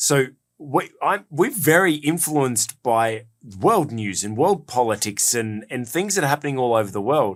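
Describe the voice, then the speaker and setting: Moderate pace, very wide pitch swings and an Australian accent. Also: man. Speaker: podcast host and executive coach. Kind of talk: casual podcast discussion. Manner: hesitant, many fillers and repetitions.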